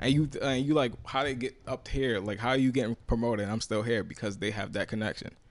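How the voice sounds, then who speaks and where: Speaking at a fairly quick pace with hardly any pauses, a man with a New York accent uses a medium pitch and fairly even intonation. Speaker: podcast co-host. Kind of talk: casual group chat.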